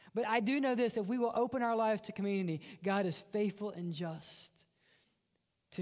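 A man with a Mississippi accent, high-pitched, at a moderate pace. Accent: Southern US (Mississippi). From US South, Mississippi. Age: young. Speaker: pastor. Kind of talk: sermon. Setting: church.

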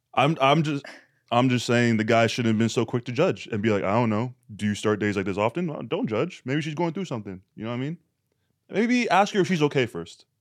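An unremarkable speaking voice: a man at medium pitch, lively intonation, fairly quick pace, on a very clean recording with a silent background. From Canada. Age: 20s. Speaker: podcast host. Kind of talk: casual chat.

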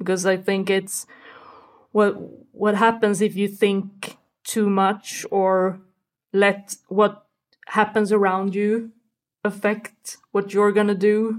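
At a very slow pace with long, frequent pauses, a woman with a Swedish accent speaks at a medium pitch in a monotone, flat intonation. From Sweden. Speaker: football podcast guest. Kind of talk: casual chat.

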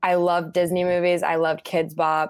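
In an American accent, a woman talks with a fairly low pitch. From Utah, US. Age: 20s. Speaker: singer-songwriter. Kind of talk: interview.

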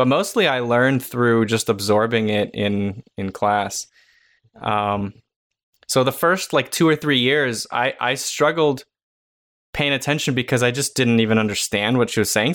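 This man talks at a moderate pace, his medium pitch showing ordinary variation. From immigrated to US at age six. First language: not English. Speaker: art educator and podcast co-host. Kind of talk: casual chat. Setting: video call.

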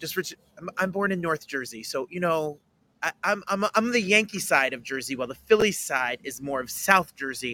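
This man talks at a fairly quick pace with lively intonation and a bright, sharp tone. His pitch is fairly high, and the sound is dry and close with no echo. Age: 30s. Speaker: podcast host. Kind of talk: interview.

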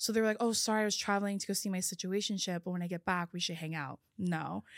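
A woman's normal speaking voice with an American accent, medium pitch, fairly even intonation and a fairly quick pace, dry and close with no echo, in a very clean recording with a silent background. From California. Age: 20s. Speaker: podcaster. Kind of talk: casual chat.

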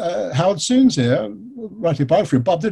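A man's dark, mellow tone, somewhat breathy, sweeps through very wide pitch swings. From England. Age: 50s. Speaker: author and biographer. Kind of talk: interview.

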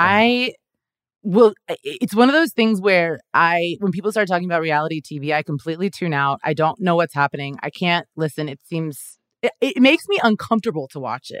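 A woman with a plain, everyday voice and a fairly low pitch speaks with big swings in loudness. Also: lively intonation, fairly quick pace. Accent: American. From Kansas City area, US Midwest. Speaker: comedian and actor. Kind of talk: casual chat.

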